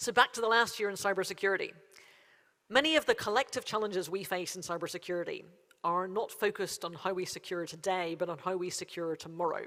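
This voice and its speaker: Recorded very cleanly with a silent background, a woman with a Derry accent talks at a very fast pace in a bright, sharp tone. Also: medium pitch for a woman, ordinary pitch variation. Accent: Northern Irish (Derry). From Northern Ireland, Derry. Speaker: cybersecurity agency chief executive. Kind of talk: conference keynote speech. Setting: conference stage with audience. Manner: formal.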